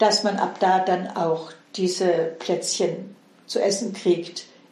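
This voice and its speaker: Amid audible room echo and noticeable background noise, a woman speaks with fairly even intonation. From Swabia, Heilbronn district, southern Germany. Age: 70s. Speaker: interviewee sharing childhood memories. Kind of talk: casual interview.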